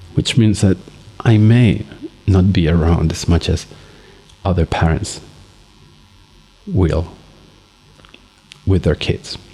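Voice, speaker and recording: A man's very deep, low voice at a very slow pace, broken by long, frequent pauses, over noticeable background noise. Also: ordinary pitch variation. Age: 40s. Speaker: father vlogging for his son. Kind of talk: personal video diary.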